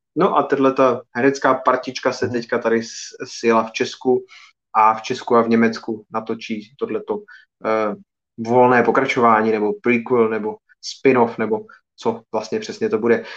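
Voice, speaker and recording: Medium pitch from a man at a moderate pace, with fairly even intonation. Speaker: film podcast host. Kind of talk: live video podcast chat.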